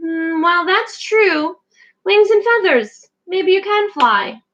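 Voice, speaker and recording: In a put-on character voice, a woman speaks at a very slow pace with an extremely high, squeaky pitch. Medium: read story.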